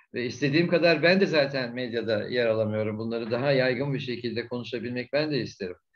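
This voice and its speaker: A man speaks with ordinary pitch variation. Room echo can be heard. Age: 70s. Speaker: retired ambassador, diplomat. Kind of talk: conference Q&A answer.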